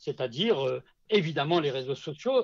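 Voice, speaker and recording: A man speaks at a moderate pace with a fairly high, somewhat breathy voice. The background is quiet. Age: 60s. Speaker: social selling consultant. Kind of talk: podcast interview. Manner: hesitant, many fillers and repetitions.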